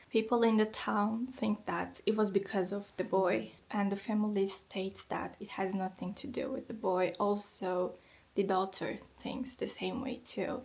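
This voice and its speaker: A woman speaks at a fairly slow pace with a Turkish accent and vocal fry. Her pitch is medium and her intonation fairly even. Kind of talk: vlog narration.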